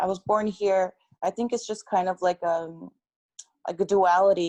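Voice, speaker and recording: A woman with a Californian accent speaks fairly slowly in a dark, mellow, fairly low voice and a flat monotone. The sound is dry and close, with no echo. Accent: Californian American English. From California, US (Korean-American family). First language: Korean. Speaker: youth activist. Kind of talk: interview.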